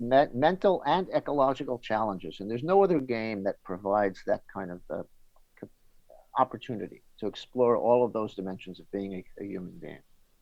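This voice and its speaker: At a fairly quick pace, a man with an American accent and a medium-pitched voice speaks with very wide pitch swings. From New York City. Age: 60s. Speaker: golf journalist. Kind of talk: interview. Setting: podcast. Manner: halting.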